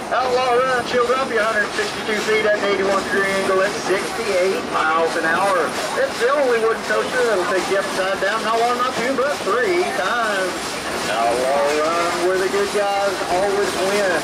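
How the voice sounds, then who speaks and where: Loud background noise runs throughout. The speaker keeps a moderate pace. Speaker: train conductor narrator. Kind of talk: comic tour narration. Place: train.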